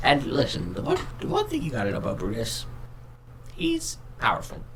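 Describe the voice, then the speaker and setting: A man speaks at a fairly quick pace in a put-on character voice over clear background noise. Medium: actual play. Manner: rambling, hesitant.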